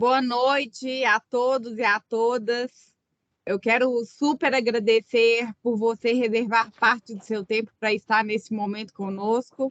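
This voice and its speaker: In a Minas Gerais accent, a woman speaks fairly slowly at a fairly high pitch in a flat monotone, with a dry, close sound and no echo. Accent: Minas Gerais accent, noticeable. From Minas Gerais, Brazil. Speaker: business consultant and webinar host. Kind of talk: webinar presentation. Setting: online webinar.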